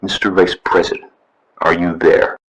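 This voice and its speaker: A man's put-on character voice at a moderate pace, with a dry, close sound and no echo. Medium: audio drama. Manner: clipped, formal.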